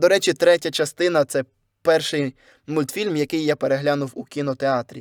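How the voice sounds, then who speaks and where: A man with a normal speaking voice talks at a moderate pace, his fairly high pitch showing ordinary variation. The recording is very clean, dry and close, with a silent background and no echo. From southern Ukraine, Kherson, then Lviv region. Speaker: YouTuber and voice-over artist. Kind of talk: casual solo podcast monologue.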